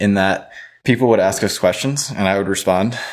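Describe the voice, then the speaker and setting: In a very clean recording with a silent background, a man with an American accent has an ordinary speaking voice and lively intonation. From US South, Louisiana (Baton Rouge). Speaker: blockchain researcher. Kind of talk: podcast interview. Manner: frequent fillers, casual.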